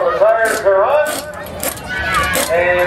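Amid noticeable background noise and audible room echo, a man with a high pitch speaks at a fairly slow pace with ordinary pitch variation. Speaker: track announcer. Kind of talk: commentary. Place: stadium.

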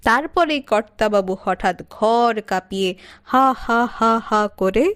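Here an unforced reading voice carries the text.

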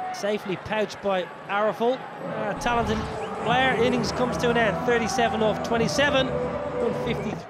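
Noticeable background noise accompanies a man who speaks at a high pitch and a fairly slow pace, with ordinary pitch variation. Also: very even loudness. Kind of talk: cricket commentary.

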